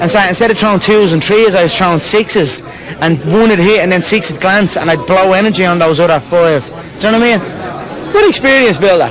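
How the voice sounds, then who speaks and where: With a strong Irish accent, a man talks at a high pitch as crowd noise carries in the background. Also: ordinary pitch variation. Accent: thick Irish. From Ireland. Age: 20s. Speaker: fighter. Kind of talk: post-fight interview answer.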